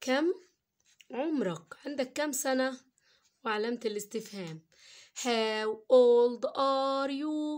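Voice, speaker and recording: A woman in an Egyptian accent, high-pitched, with ordinary pitch variation and a very slow pace. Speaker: English teacher. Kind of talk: tutorial. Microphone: phone near.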